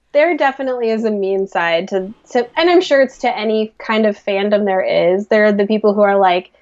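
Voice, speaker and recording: A woman with a Midwestern accent talks at a fairly quick pace with hardly any pauses, her pitch fairly high. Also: lively intonation. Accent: American, Midwestern. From US Midwest. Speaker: podcast co-host. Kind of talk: casual chat. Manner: animated.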